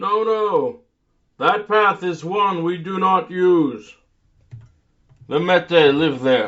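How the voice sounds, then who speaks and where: In a put-on character voice, the speaker goes at a very slow pace with lively intonation. Long, frequent pauses break up the lines. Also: man, high pitch for a man. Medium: read story. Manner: earnest, grave.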